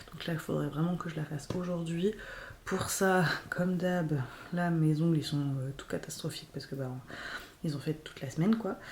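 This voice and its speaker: With long, frequent pauses, a woman speaks at a moderate pace in a fairly low pitch with ordinary pitch variation. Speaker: vlogger and small business owner. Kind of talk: casual vlog talk. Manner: hesitant, many fillers.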